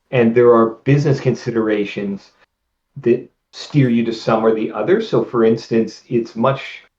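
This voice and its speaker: Using a normal speaking voice, a man keeps fairly even intonation and a moderate pace. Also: medium pitch for a man. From Canada. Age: 50s. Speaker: video game writer and novelist. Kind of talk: interview.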